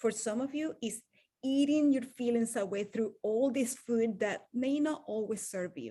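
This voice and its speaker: Fairly high in pitch with a dark, mellow tone, a woman with a Venezuelan accent speaks at a fairly slow pace. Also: ordinary pitch variation. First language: Spanish. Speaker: wellness coach. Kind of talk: motivational talk.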